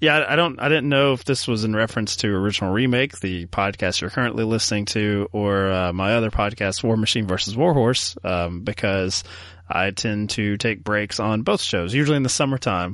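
In a normal speaking voice, a man of fairly low pitch moves at a fairly quick pace with hardly any pauses and ordinary pitch variation, against a quiet background. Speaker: podcast host. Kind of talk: casual chat about films.

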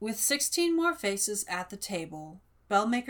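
What you hear is plain reading aloud.

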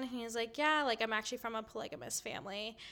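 A fairly high-pitched woman's voice with an American accent on a very clean recording with a silent background. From Minnesota. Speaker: podcaster, guest storyteller. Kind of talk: storytelling.

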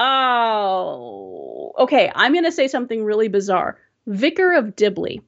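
A woman with an American accent talks at a fairly slow pace, keeping her loudness very even. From Southern California. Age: 40s. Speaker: Twitch streamer. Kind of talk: casual interview chat. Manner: hesitant, many ums.

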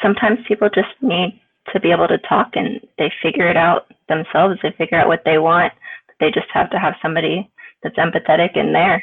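A woman speaks in a plain, everyday voice with an American accent. Her fairly low pitch shows ordinary pitch variation at a fairly quick pace. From Florida. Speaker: mental health advocate. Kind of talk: casual chat.

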